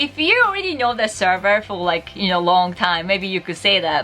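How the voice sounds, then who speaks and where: A woman with a Japanese accent speaks fairly quickly at a medium pitch against noticeable background noise. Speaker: Japanese teacher and YouTuber. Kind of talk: tutorial. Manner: animated.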